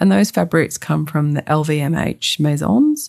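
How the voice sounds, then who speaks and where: Here a woman is speaking. She talks with an Australian accent. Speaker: podcast host, sustainable fashion consultant. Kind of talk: scripted solo podcast narration.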